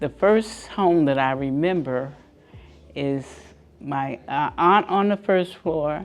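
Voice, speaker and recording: A woman with an American accent, her pitch very deep and low, at a very slow pace with ordinary pitch variation. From Newark, New Jersey. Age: 80s+. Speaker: community resident interviewee. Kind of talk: interview reminiscence. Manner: halting, with fillers.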